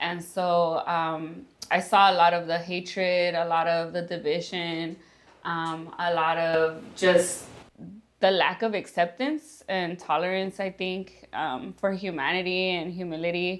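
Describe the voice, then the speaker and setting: Her intonation monotone and flat, a woman speaks at a fairly low pitch and a fairly slow pace. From Los Angeles, US. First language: Spanish. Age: 30s. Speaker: interviewee telling life story. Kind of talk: personal testimony. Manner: hesitant, many fillers.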